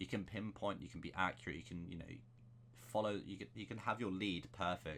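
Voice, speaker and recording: Very fast and lively in intonation, a man talks with a very deep, low pitch and vocal fry. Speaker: gaming YouTuber. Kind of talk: gameplay settings tutorial.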